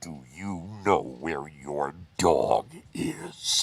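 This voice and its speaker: A man puts on a character voice with a very deep, low pitch. His pitch varies in an ordinary way. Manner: menacing, eerie.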